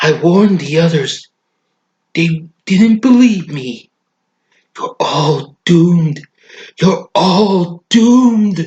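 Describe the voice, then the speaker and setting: The speaker uses a put-on character voice at a middle pitch. The pace is very slow, with long, frequent pauses. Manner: ominous, warning.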